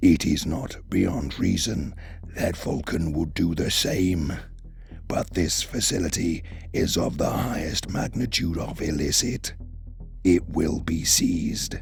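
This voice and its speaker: A put-on character voice speaks at a fairly slow pace against clear background noise. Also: man, very deep, low pitch for a man. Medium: read story. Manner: grave, measured, solemn.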